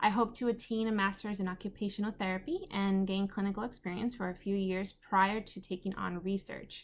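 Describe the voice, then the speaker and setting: A woman with a Spanish accent speaks at a fairly quick pace in a medium pitch, her intonation monotone and flat. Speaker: undergraduate student. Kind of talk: class presentation.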